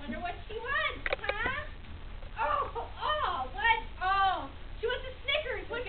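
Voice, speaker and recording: A put-on character voice, extremely high in pitch, at a fairly slow pace with long, frequent pauses. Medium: stage play. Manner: excitable.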